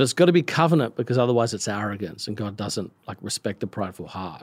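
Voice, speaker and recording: On a very clean recording with a silent background, a man talks at a very fast pace, his pitch swinging very widely, with vocal fry. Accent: American. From Australia. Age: 40s. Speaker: pastor. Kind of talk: casual interview chat.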